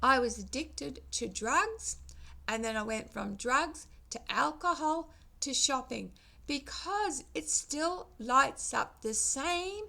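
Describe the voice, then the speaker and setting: The pace of this woman's speech is very slow. She talks in an Australian accent. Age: 60s. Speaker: vlogger. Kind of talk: casual vlog monologue. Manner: halting.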